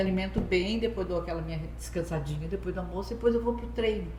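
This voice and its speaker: A woman talks at a fairly quick pace. Audible room echo and noticeable background noise come through. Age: 60s. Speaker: retiree, gym member. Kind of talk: interview, casual chat.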